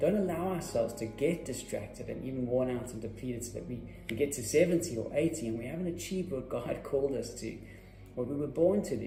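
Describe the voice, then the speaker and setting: Lively in intonation, a man with a medium pitch talks at a very fast pace. Music plays in the background, and room echo is audible. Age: 40s. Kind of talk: short devotional talk.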